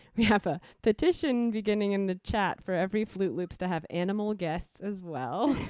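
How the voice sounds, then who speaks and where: A woman speaks at a moderate pace with hardly any pauses. Her medium-pitched voice has lively intonation. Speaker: livestream host and musician. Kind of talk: casual interview chat. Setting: video call livestream.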